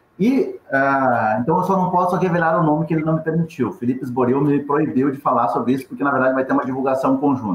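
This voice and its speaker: A man's very fast, lively speech over noticeable background noise. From Rio Grande do Sul, Brazil. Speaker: journalist and radio news agency founder. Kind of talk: webinar panel discussion.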